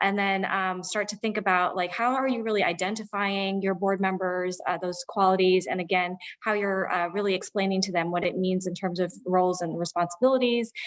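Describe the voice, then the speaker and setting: Speaking at a fairly quick pace with hardly any pauses, a woman keeps a medium pitch and fairly even intonation. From Chicago western suburbs, US Midwest. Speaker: economic development program director. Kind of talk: conference presentation. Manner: fast; halting, many fillers.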